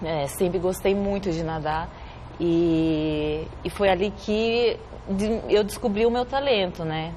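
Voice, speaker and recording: At a very slow pace, a woman speaks with a medium pitch and ordinary pitch variation, with audible room echo and noticeable background noise. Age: 30s. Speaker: Olympic swimmer. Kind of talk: TV interview.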